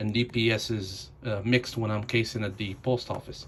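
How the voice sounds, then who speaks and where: With a non-native accent, this speaker keeps to a moderate pace. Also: man. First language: not English. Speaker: new mail carrier. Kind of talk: home tutorial. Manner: halting.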